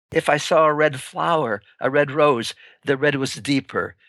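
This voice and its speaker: Against a quiet background, a man's fairly high voice comes through with a bright, sharp tone in a dry, close sound with no echo. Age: 90s. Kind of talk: interview. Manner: calm, reflective.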